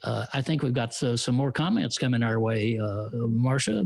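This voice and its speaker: With a Texan accent, a man speaks at a moderate pace in a somewhat breathy voice with ordinary pitch variation. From Texas. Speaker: radio commentator and show host. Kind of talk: live-streamed casual chat show. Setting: live stream.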